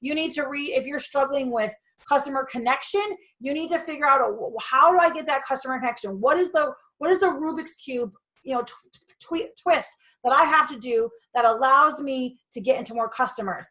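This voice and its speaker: In a raised, projected voice, a woman speaks at a fairly quick pace with a high pitch and ordinary pitch variation. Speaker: direct sales business coach. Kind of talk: motivational talk. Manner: loud; animated.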